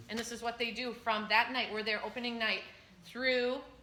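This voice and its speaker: There is audible room echo as a woman with a fairly high pitch speaks in a flat monotone. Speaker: school choir director. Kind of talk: parent info meeting Q&A. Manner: fast.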